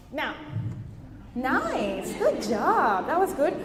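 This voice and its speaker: Amid noticeable background noise and audible room echo, a woman speaks in an animated tone. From Venezuela. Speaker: keynote speaker. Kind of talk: keynote talk. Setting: stage with audience.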